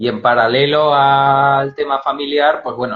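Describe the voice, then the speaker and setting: Speaking with a Spanish accent, a man talks at a very slow pace. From Spain. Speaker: storyteller. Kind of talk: interview. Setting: Instagram live video call.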